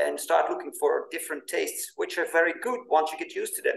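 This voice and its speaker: This man speaks with a Dutch accent. His pace is moderate. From Netherlands. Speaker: podcast host and author. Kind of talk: interview.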